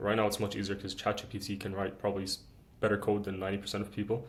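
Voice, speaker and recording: This man talks at a very fast pace with monotone, flat intonation. His fairly low voice is somewhat breathy. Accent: Arabic. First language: Arabic. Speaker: student YouTuber. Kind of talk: casual chat.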